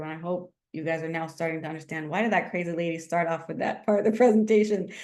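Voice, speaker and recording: A woman speaks with ordinary pitch variation. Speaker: marketing instructor. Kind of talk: lecture. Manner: fast; animated.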